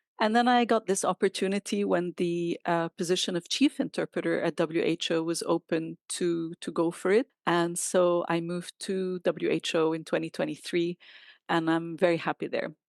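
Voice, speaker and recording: Against a quiet background, a woman with a fairly low pitch and ordinary pitch variation speaks at a moderate pace with hardly any pauses, in a dry, close sound with no echo. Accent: Arabic. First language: Arabic. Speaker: chief interpreter. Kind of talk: interview.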